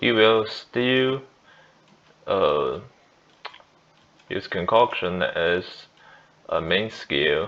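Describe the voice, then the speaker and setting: In a Chinese accent, a man speaks at a very slow pace with long, frequent pauses. His intonation is lively. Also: medium pitch for a man. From China. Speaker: gaming youtuber. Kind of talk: gameplay tutorial. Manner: halting, many fillers and restarts.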